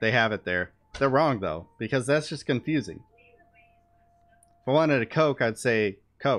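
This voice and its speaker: A man speaks at medium pitch and a moderate pace with lively intonation. He leaves long, frequent pauses. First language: not English. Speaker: streamer. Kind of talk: casual chat. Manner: halting.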